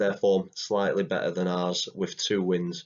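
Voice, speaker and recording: Speaking fairly slowly with an English accent, a man with a very deep, low voice shows ordinary pitch variation. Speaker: football fan vlogger. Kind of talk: casual match preview talk to camera.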